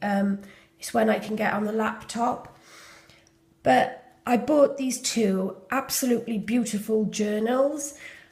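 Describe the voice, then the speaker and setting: Fairly even intonation at a fairly slow pace, over noticeable background noise. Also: woman. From Wales. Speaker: junk journal maker. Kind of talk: casual journal flip-through talk to camera.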